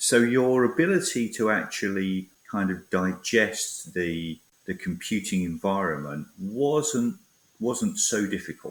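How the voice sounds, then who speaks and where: A fairly low-pitched man's voice at a fairly slow pace, with very wide pitch swings. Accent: British. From Britain. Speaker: tech industry academic research lead. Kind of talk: interview.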